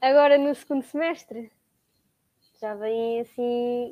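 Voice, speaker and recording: Here a woman speaks at a high pitch. Her tone is dark and mellow. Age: young. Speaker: occupational therapy student. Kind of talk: casual chat.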